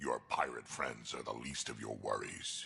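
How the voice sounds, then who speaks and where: Putting on a growling character voice, a man speaks at a moderate pace. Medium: video game. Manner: blunt, dry.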